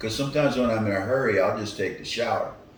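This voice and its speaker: Recorded with audible room echo and noticeable background noise, a man speaks at a medium pitch with an American accent. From US Northeast, Philadelphia. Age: 70s. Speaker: retired athlete. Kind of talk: interview. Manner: halting.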